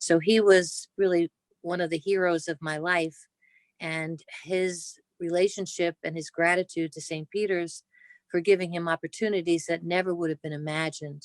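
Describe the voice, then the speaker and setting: A woman speaks with a New Jersey accent at a fairly low pitch. Her intonation is flat and monotone, and the sound is dry and close with no echo. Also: moderate pace. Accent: Jersey City. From New Jersey, Jersey City. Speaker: cancer surgeon. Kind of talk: oral history interview.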